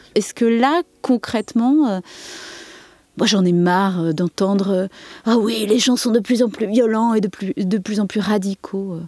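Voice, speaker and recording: A woman's normal speaking voice, fairly high in pitch with ordinary pitch variation, at a fairly slow pace in a dry, close sound with no echo. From Saint-Denis, Paris region. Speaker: artist, village resident. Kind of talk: interview.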